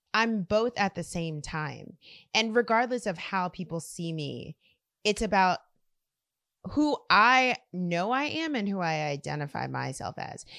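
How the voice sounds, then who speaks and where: Her tone is bright and sharp, and the woman's intonation is lively. The sound is dry and close, with no echo. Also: medium pitch for a woman, fairly slow pace. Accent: American. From South Louisiana, US. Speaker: community organizer and artist. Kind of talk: interview conversation.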